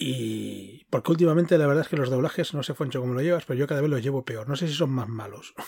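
The speech comes at a very fast pace with hardly any pauses. Pitch variation is ordinary. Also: man, fairly high pitch for a man. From Catalonia (Girona). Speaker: podcast co-host. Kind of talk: casual chat.

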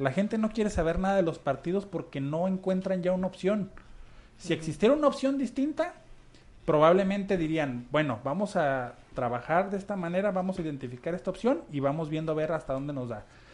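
A man talks fairly quickly in a high pitch, his voice swinging very widely up and down. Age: 30s. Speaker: local political hopeful and volunteer. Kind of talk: radio interview.

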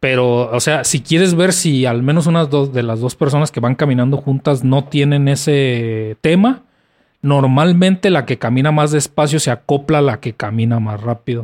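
In a very clean recording with a silent background, a man with a fairly high pitch and an unremarkable speaking voice talks at a moderate pace with ordinary pitch variation. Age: 30s. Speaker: podcast co-host, physicist. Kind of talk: casual chat.

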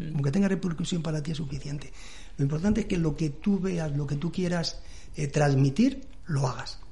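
The tone is dark and mellow. Pitch varies in an ordinary way. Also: man. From Madrid, Spain. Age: 60s. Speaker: cartoonist and illustrator. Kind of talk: radio interview. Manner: halting, repeats words.

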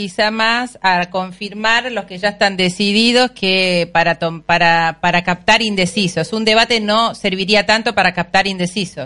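Her tone bright and sharp, a woman talks at a moderate pace in a medium pitch with fairly even intonation. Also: hardly any pauses. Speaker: radio host. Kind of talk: interview. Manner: halting, many fillers.

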